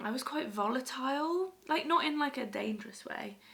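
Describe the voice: A woman puts on a croaky, high-pitched character voice. Her intonation is lively and her pace moderate.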